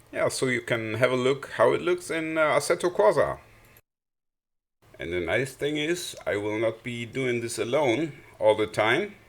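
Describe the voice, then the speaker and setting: A man with a German accent, fairly high pitch, vocal fry, lively intonation and a moderate pace, in a very clean recording with a silent background. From Germany. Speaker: sim racing youtuber. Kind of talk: casual commentary. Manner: halting, many fillers.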